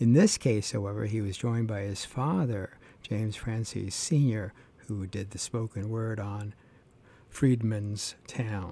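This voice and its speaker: A man's fairly low, dark, mellow voice, somewhat breathy, at a fairly slow pace with fairly even intonation, on a very clean recording with a silent background. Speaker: radio jazz host. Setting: radio studio broadcast. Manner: relaxed, measured and low-key, with frequent 'uh' fillers while reeling off names.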